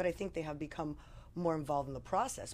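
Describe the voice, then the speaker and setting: A woman with an American accent speaks at a very deep, low pitch with vocal fry. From New Jersey. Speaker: lawyer. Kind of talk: casual political discussion.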